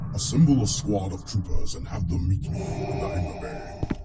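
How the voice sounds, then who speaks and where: Over loud background noise, a man with a very deep, low pitch speaks at a moderate pace. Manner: cold, commanding.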